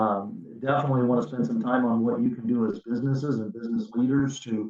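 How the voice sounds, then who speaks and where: Using fairly even intonation, a man speaks at a medium pitch and a fairly quick pace. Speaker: physician, hospital chief medical officer. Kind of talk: webinar presentation. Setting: online webinar. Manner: fast; many filler words and repetitions.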